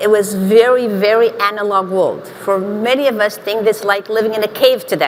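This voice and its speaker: A woman with a Portuguese accent talks in a fairly high pitch, with hardly any pauses. Noticeable background noise runs behind her. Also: moderate pace. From Portugal, small village. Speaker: marketing executive, panelist. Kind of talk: panel discussion.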